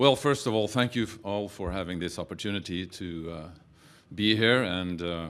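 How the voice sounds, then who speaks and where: With a Norwegian accent, the speaker moves at a moderate pace with ordinary pitch variation and big swings in loudness over a quiet background. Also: man, very deep, low pitch for a man. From Norway. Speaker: documentary film producer. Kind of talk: press conference talk. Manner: halting, many fillers.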